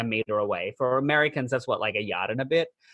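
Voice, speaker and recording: Someone talks at a very fast pace in an Australian accent. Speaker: podcast host. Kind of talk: casual chat. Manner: animated.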